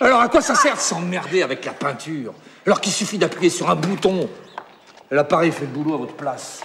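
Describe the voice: Putting on a character voice, a man talks at a fairly quick pace with lively intonation, his fairly high pitch bright and sharp over a husky, rough edge.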